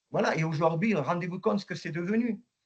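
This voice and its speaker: Ordinary pitch movement in a man's high voice. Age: 70s. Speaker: former professional footballer. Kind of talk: interview. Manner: halting, many repetitions.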